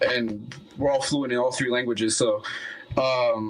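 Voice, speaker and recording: Against a noticeably noisy background, this man's delivery is fairly slow. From Quebec, Montreal (born in Colombia, moved as a baby). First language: Spanish. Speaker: musician. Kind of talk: casual chat.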